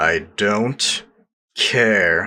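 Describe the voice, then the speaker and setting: A man puts on a character voice, fairly low in pitch. It comes out raspy. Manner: through gritted teeth, curt.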